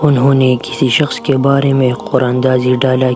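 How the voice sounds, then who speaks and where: Over music in the background, a man speaks at medium pitch in a flat, monotone intonation. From Pakistan. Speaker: voice-over artist, channel owner. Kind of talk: Islamic story narration.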